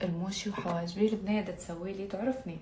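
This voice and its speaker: A woman of medium pitch with a slight Baghdad accent at a moderate pace, amid noticeable background noise and audible room echo. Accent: Baghdadi Iraqi dialect, described as light. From Iraq, Baghdad. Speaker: beauty vlogger. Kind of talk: makeup tutorial vlog. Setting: at home. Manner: casual, chatty, code-switching with English; stumbles over words.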